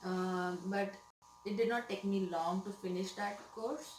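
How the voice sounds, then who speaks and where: Amid audible room echo and noticeable background noise, a woman speaks at a medium pitch with ordinary pitch variation and a fairly slow pace. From India, Mumbai. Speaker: nurse. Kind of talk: interview. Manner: hesitant, many fillers.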